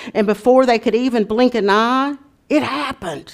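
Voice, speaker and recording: An animated, warm voice at a moderate pace, recorded very cleanly against a silent background. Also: woman. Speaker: preacher. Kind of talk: sermon with storytelling, read-aloud storybook style. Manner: animated storyteller, warm and expressive; conversational, folksy.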